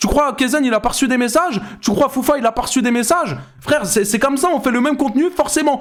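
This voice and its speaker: At a very fast pace and an extremely high pitch, a man speaks in an animated tone over noticeable background noise. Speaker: YouTuber and streamer. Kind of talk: reaction commentary. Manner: loud.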